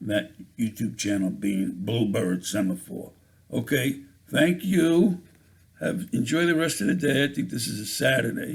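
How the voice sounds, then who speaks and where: With an American accent, a man talks at a fairly slow pace, his pitch swinging very widely. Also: medium pitch for a man. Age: 70s. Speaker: YouTuber, poet. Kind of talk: casual monologue vlog. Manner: halting.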